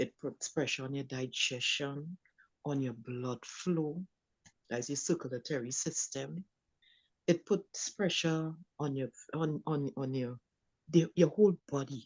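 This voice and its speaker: A woman with a very deep, low pitch speaks at a fairly slow pace, with long, frequent pauses and ordinary pitch variation. The sound is dry and close with no echo, over a quiet background. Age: 60s. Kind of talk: panel discussion. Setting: live stream.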